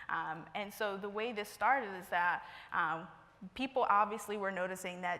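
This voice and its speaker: In an American accent, a woman with a bright, sharp tone speaks with fairly even intonation amid audible room echo. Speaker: conference presenter, account executive at a marketing firm. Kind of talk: conference presentation. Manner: fast.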